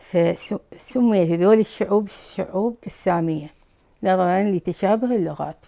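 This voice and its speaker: Against a quiet background, a woman with an Iraqi accent speaks very slowly in a dark, mellow tone. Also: ordinary pitch variation. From Baghdad, Iraq. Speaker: Chaldean immigrant from Iraq. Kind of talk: interview answer. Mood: calm, measured. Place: home room.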